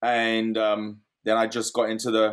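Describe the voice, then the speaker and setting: A fairly low-pitched man with an American accent on a very clean recording with a silent background. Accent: British, fading with American twang. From London, England. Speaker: real estate investor. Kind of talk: interview.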